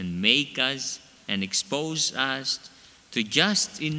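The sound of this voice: An unforced reading voice moves with lively intonation.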